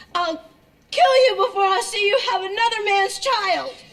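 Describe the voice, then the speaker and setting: Putting on a squeaky character voice, a woman speaks at a moderate pace with an extremely high pitch. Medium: short film. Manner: breathy, coy, theatrical.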